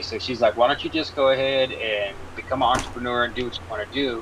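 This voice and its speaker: With an American accent, a man rattles off his words very fast while noticeable noise carries on behind him. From US West, North Sacramento, California. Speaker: artist and podcast guest. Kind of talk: casual chat.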